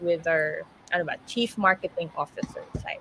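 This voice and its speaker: Fairly slow, lively intonation from a woman amid noticeable background noise. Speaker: radio host. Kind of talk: interview.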